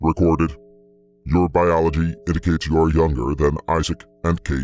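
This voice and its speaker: This man uses a put-on character voice. It sits very deep and low, delivered at a moderate pace. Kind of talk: machine speech. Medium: read story. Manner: terse, clinical, monotone.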